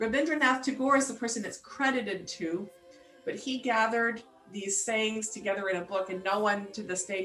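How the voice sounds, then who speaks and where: Amid audible room echo and background music, a woman speaks with an American accent and lively intonation. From US South and Appalachian Ohio. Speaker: composer. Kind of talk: interview about own music.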